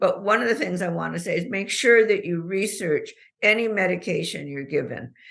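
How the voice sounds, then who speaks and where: Her intonation lively and her pitch medium, a woman speaks at a fairly quick pace with vocal fry. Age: 80s+. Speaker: author and patient advocate. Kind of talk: casual chat.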